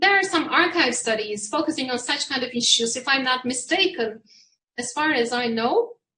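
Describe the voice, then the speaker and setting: A woman's high-pitched, raised and projected voice in a Turkish accent, bright and sharp in tone, with lively intonation. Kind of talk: panel discussion. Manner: slow; halting.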